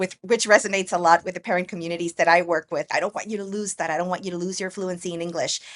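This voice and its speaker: At a very fast pace with hardly any pauses, a woman of medium pitch speaks in monotone, flat intonation, in a dry, close sound with no echo. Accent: American. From Guatemala, Guatemala City. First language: Spanish. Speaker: educator and multilingual education consultant. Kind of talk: podcast interview.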